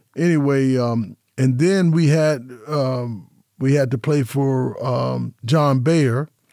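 A man with an American accent talks at a very slow pace, his medium pitch showing ordinary variation. His tone is dark and mellow, and his loudness stays very even. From Las Vegas, Nevada. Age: 70s. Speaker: former college hospitality program director, podcaster. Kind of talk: casual radio interview.

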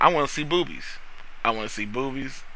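A man speaks with ordinary pitch variation, and room echo is audible. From North Carolina. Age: 40s. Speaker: opera singer. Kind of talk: casual chat. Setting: studio.

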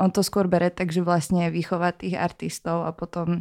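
A woman's flat, monotone delivery at a fairly slow pace, dark and mellow in tone, on a very clean recording with a silent background and a dry, close sound with no echo. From Slovakia, Bratislava. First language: Slovak (speaking Czech). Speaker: rapper. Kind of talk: casual chat.

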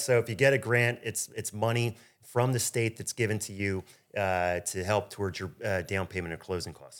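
The loudness of this fairly low-pitched man swings widely, while his pitch variation is ordinary. The recording is very clean, with a silent background. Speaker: mortgage lender and podcast host. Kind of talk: casual interview chat. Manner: fast.

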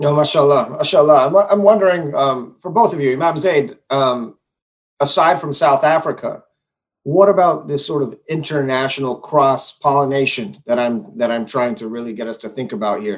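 A man in a plain, everyday voice speaks at a moderate pace and fairly high pitch, with lively intonation and big swings in loudness. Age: 40s. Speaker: moderator of online panel. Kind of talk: moderated panel discussion.

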